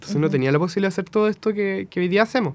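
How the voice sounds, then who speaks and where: A man's high-pitched voice with a Chilean accent and lively intonation. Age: 20s. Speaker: musician. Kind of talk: casual interview. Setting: radio studio.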